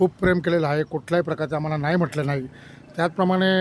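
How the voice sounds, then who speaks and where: Over noticeable background noise, a man talks at a high pitch in a monotone, flat intonation. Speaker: village political worker. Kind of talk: street interview.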